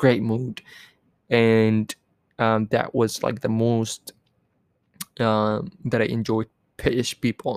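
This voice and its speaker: A man of medium pitch speaks at a very slow pace. His intonation stays monotone and flat in a dry, close sound with no echo. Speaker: podcast host. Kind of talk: solo podcast monologue about travel. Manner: casual, chatty, filler words.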